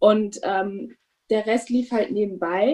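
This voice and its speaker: Over a quiet background, a woman speaks in a dark, mellow tone with a fairly high pitch. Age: 30s. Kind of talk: interview. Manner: hesitant with many fillers.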